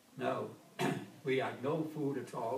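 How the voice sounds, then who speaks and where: A man's medium-pitched voice carries fairly even intonation, with noticeable background noise present. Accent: Welsh. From Wales. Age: 80s+. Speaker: war veteran; former engineer. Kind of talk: oral history interview answer.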